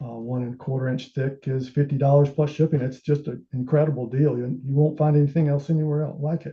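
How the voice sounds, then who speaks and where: A man talks at a very fast pace with hardly any pauses, in a flat monotone. His fairly high voice is somewhat breathy. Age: 60s. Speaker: amateur telescope maker presenting his build. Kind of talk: technical presentation. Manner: halting, many filler sounds.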